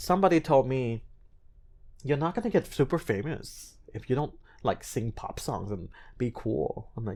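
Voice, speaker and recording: Animated and somewhat breathy, this voice carries a slight non-native accent and lively intonation. The pace is fairly slow, with long, frequent pauses. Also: man. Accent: slight non-native hint in his English. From US, child of Cambodian and Thai refugees. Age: 30s. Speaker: singer and TV host. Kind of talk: podcast interview.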